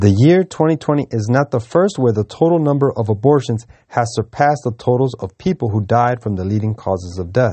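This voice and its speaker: This is a plain, everyday voice at a fairly quick pace. The intonation is lively. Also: man, medium pitch for a man, hardly any pauses. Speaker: news reader. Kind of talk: news reading.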